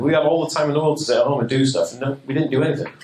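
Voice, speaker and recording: A man's voice carries audible room echo. Noticeable background noise is also present. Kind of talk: seminar talk. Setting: stage with audience. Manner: fast.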